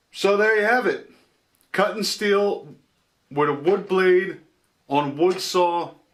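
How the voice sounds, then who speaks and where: A man at a fairly slow pace, with lively intonation. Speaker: DIY workshop youtuber. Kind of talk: tutorial. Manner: loud.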